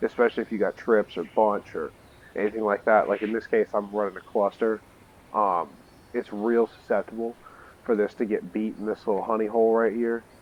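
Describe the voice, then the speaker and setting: A man's medium-pitched, monotone, flat delivery in a dry, close sound with no echo. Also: fairly quick pace. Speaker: video game tutorial creator. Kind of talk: gameplay tutorial narration. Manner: casual, hesitant with filler words.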